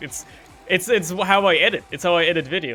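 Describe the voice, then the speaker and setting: A man speaks with a German accent. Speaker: gaming streamer. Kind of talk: casual chat. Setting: live stream. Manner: casual, filler-heavy.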